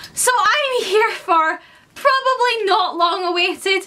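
Lively in intonation, a woman speaks with a Scottish accent. Her voice is raised and projected. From Scotland. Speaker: book vlogger. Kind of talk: casual educational talk to camera. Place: home room. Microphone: camera far.

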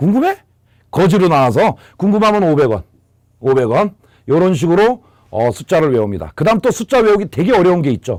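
A man's high-pitched voice with very wide pitch swings at a moderate pace, in a very clean recording with a silent background. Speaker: exam prep lecturer. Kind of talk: lecture.

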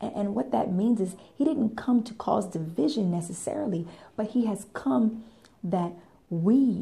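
Using lively intonation, a woman speaks at a fairly slow pace. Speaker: faith vlogger. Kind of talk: sermon-like vlog talk. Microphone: phone near.

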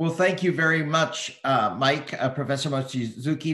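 Against a quiet background with audible room echo, a man speaks at a moderate pace with ordinary pitch variation. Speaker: think tank director and moderator; moderator. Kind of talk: webinar moderation. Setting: video call. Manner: formal. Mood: polite, formal. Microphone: video call.

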